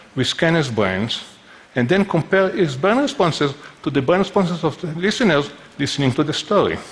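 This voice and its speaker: Fairly quick and fairly high, a man's voice with a non-native accent swings very widely in pitch. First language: not English. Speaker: neuroscientist. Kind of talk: conference talk.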